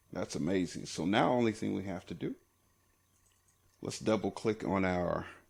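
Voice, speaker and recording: Vocal fry runs through this man's speech. His pitch is very deep and low. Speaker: Photoshop tutorial creator. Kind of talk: tutorial. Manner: casual, filler-heavy.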